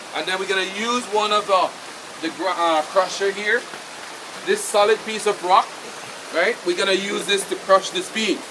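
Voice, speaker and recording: A man speaks in a high voice at a moderate pace, with noticeable background noise. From Belize, Mopan Maya community. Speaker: tour guide. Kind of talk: live demonstration.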